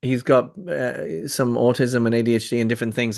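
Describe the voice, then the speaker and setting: Against a quiet background, a man with an Irish accent talks at a medium pitch. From Ireland. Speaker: spiritual speaker. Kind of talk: casual discussion. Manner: halting.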